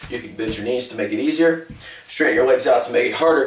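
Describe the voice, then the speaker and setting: Fairly quick speech from a man, with room echo clearly audible. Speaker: fitness trainer. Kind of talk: tutorial. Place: kitchen. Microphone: camera far.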